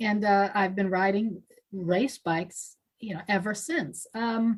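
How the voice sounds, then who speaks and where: The speech moves at a very slow pace and sounds somewhat breathy. Pitch varies in an ordinary way. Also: woman, medium pitch for a woman. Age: 60s. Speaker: lifetime cyclist. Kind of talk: casual chat.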